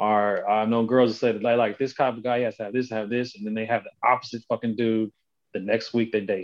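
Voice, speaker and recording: This man has an unremarkable speaking voice and talks fairly quickly. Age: 30s. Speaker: podcast guest. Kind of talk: casual chat.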